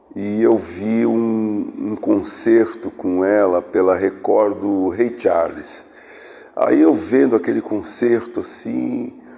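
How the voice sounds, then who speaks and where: The speech is very slow, with hardly any pauses. Background noise is noticeable. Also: man. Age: 60s. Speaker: musician. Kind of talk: documentary interview.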